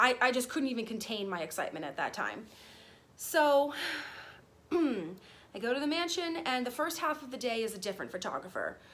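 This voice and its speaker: A woman's high-pitched voice at a moderate pace, with very wide pitch swings. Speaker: vlogger. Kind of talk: casual vlog storytime. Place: garden. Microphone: phone near.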